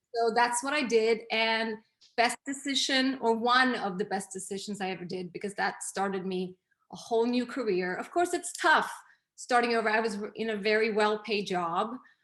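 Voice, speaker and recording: In a Swedish accent, a woman speaks at a fairly high pitch. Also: ordinary pitch variation, moderate pace. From Sweden. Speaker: image consultant and interior designer. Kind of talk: interview.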